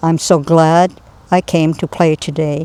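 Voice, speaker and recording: A woman speaks in a fairly low pitch with monotone, flat intonation and a dry, close sound with no echo. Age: 80s+. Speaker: poet. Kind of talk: poetry reading.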